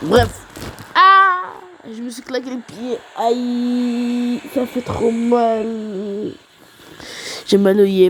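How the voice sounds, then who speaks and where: A fairly high-pitched woman talks at a very slow pace, leaving long, frequent pauses. Her intonation is lively, her loudness swings widely, and noticeable background noise is present. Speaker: gaming YouTuber. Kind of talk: gameplay commentary. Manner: soft-spoken.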